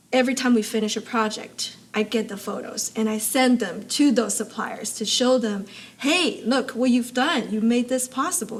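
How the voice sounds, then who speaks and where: The speaker has a non-native accent. Background noise is noticeable. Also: woman. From abroad, moved to US in high school. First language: not English. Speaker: supply chain expert and amateur racer. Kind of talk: interview conversation.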